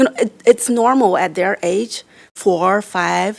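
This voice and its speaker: In a Chinese accent, a woman talks at a medium pitch with vocal fry and ordinary pitch variation. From China. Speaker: board member, diversity educator. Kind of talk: meeting discussion. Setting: library board meeting. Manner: halting.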